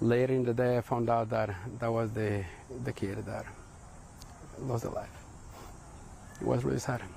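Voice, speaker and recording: With long, frequent pauses at a moderate pace, a man speaks at medium pitch with fairly even intonation, and audible room echo surrounds him. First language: Spanish. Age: 40s. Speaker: parent of shooting survivors. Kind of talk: news interview testimony.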